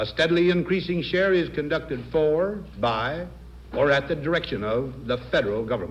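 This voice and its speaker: An unremarkable speaking voice, a man with an American accent, fairly high pitch, lively intonation and a moderate pace. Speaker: president giving a televised farewell address. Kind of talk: formal televised presidential address. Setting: 1961 broadcast recording.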